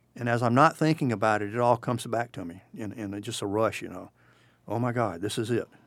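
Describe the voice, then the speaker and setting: A man talks very fast in a South Carolina accent at a medium pitch, with ordinary pitch variation and big swings in loudness, on a very clean recording with a silent background. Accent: Southern US (South Carolina). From US South, South Carolina (Bamberg County). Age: 60s. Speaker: war veteran. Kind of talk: interview. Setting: studio.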